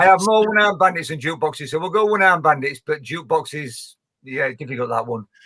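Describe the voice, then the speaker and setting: A man talks very fast with a strong Yorkshire accent. His fairly high voice has a bright, sharp tone. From northern England, Leeds, West Yorkshire. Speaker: pilot. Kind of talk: interview.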